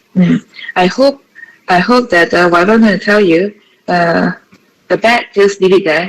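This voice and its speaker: Speaking fairly slowly with a Malaysian accent, a woman uses a medium pitch and ordinary pitch variation. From Malaysia, Johor. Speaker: associate professor. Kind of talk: webinar talk. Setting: video call.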